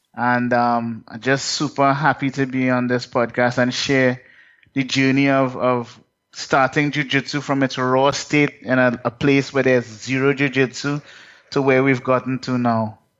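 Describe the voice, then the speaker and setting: A man with a medium pitch talks at a fairly slow pace in flat, monotone intonation. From Trinidad and Tobago. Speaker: martial arts coach. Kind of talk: podcast interview.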